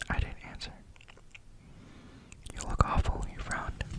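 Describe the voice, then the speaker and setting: A man's whispering at a moderate pace, with noticeable background noise. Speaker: ASMR creator reading a novel aloud. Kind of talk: sleep story, audiobook-style reading.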